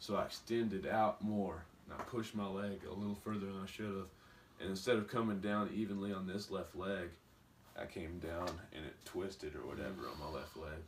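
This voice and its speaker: Against audible room echo, a man with an Appalachian accent speaks at a fairly quick pace in a fairly low voice with ordinary pitch variation. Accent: rural Appalachian, sounds like a redneck. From West Virginia, Beckley. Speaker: pro wrestler. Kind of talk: interview.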